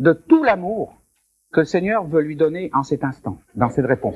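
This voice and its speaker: This man's voice has very wide pitch swings. They rise and fall sharply. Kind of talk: question-and-answer session at a conference.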